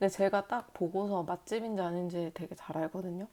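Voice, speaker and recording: The recording is very clean, with a silent background. A woman with a medium pitch and a dark, mellow tone speaks at a fairly quick pace. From South Korea. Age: 30s. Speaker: vlogger. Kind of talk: casual vlog talk.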